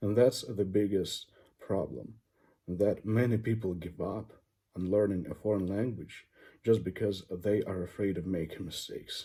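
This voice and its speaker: In a very clean recording with a silent background, a man with a non-native accent talks at a moderate pace, his fairly low, somewhat breathy voice dark and mellow in tone, with fairly even intonation. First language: not English. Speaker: English teacher. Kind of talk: educational talk. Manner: halting, with fillers.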